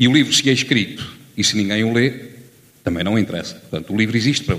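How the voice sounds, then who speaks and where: A man talking at a very fast pace. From Lamego, northern Portugal. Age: 50s. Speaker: audience member. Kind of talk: audience contribution. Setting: theatre with audience.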